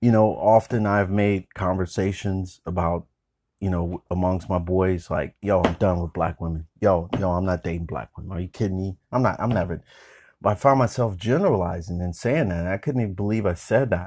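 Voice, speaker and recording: With an American accent, a man talks at a fairly quick pace in a very deep, low voice and an animated tone, recorded dry and close with no echo against a quiet background. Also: ordinary pitch variation. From California, Bay Area. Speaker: podcast host. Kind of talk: casual monologue. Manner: animated, with frequent fillers and laughs.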